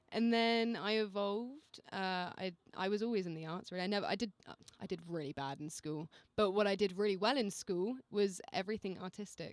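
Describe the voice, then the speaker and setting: A woman's medium-pitched voice in an English accent, fairly quick, with ordinary pitch variation. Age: 20s. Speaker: singer-songwriter. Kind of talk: casual radio interview.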